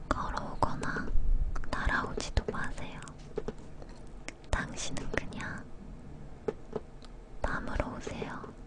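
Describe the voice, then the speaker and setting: A woman whispering at a very slow pace with long, frequent pauses, over noticeable background noise. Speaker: ASMR creator. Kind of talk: whispered book reading (ASMR). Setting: studio, recorded from a live broadcast. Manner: whispered, soft.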